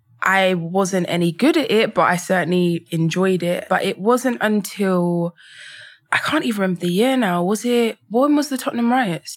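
Her loudness very even, a woman with a London accent and medium pitch speaks at a moderate pace with lively intonation. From England, London. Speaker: photographer. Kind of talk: casual chat.

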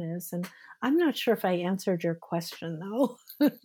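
Her pitch moving in an ordinary way, a woman talks with a dark, mellow tone. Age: 60s. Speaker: Chinese medicine practitioner. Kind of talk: casual chat.

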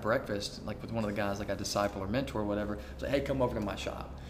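Over noticeable background noise, a man talks at a very fast pace in a fairly low pitch. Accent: Alabama. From US South, Alabama. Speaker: food truck owner, former missionary. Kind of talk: casual interview.

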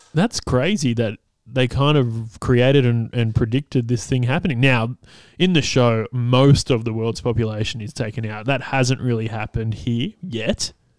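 An Australian accent from a man at a moderate pace and medium pitch, with ordinary pitch variation, in a very clean recording over a silent background. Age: 30s. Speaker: podcast host and comedian. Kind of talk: casual solo monologue. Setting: home recording, partner cooking nearby. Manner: halting, many fillers.

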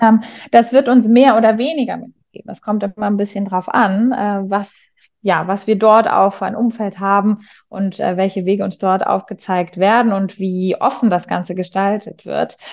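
A woman's medium-pitched voice at a moderate pace with fairly even intonation. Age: 30s. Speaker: teacher and coach. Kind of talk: interview. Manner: hesitant, many fillers.

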